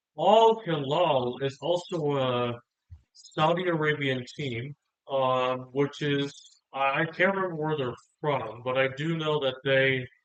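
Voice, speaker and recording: The delivery is very slow. Its pitch varies in an ordinary way. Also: man. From South Korea. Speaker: gaming youtuber. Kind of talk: gameplay commentary. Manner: hesitant, many fillers.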